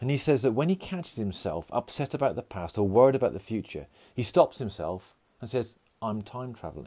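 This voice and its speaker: With a dark, mellow tone and vocal fry, a man of medium pitch talks at a fairly quick pace, his pitch swinging very widely and his loudness shifting in big swings. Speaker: podcast host. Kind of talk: solo personal podcast monologue. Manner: fast talker; halting, with many filler words.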